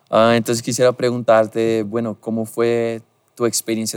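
On a very clean recording with a silent background, a man with a Portuguese accent talks at a moderate pace in a medium pitch. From Brazil. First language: Portuguese (speaking Spanish). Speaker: podcast host. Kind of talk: casual interview chat. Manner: halting.

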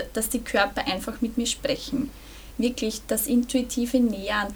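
A woman with a high pitch speaks at a very slow pace in a monotone, flat intonation over noticeable background noise. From Burgenland, Austria. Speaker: energy healer, author, former social worker. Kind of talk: casual interview. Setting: in person.

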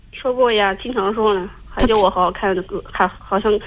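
Speaking at a fairly quick clip, a woman is heard with noticeable noise behind her. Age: 30s. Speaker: caller. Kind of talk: call-in confiding problems. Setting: phone call. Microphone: headset with loud breathing, then too quiet.

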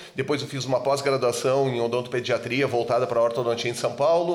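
The intonation is fairly even, and there is noticeable background noise. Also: man. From southern Brazil, Rio Grande do Sul (Serra Gaúcha). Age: 50s. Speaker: dentist. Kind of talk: casual chat.

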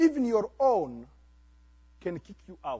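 In an animated tone, a man speaks at an extremely high pitch. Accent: Congolese. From DR Congo. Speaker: pastor. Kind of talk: sermon. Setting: church.

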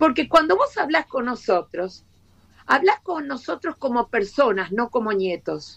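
In a Rioplatense accent, the speaker goes at a fairly slow pace with very wide pitch swings, the sound dry and close with no echo. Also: woman. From Argentina. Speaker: education professor. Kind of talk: live video interview.

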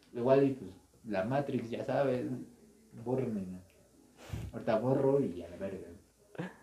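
A man at a fairly slow pace with long, frequent pauses and big swings in loudness, amid audible room echo and noticeable background noise. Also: medium pitch for a man, ordinary pitch variation. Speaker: podcast co-host and gaming youtuber. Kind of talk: casual chat.

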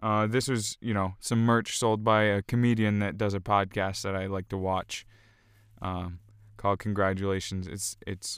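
On a very clean recording with a silent background, a man talks at a moderate pace, fairly low in pitch, with a clear, smooth tone and little pitch movement.

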